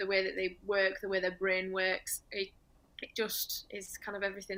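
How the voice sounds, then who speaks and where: A woman speaks with a northern English accent. Her medium-pitched voice has a bright, sharp tone. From northern England. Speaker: dog trainer. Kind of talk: presentation.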